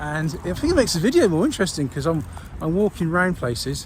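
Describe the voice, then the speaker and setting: Clear background noise sits beneath this male voice. He delivers his words very rapidly. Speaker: army veteran vlogger. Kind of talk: casual vlog. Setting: outdoors, walking with dog. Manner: halting, many ums and ahs.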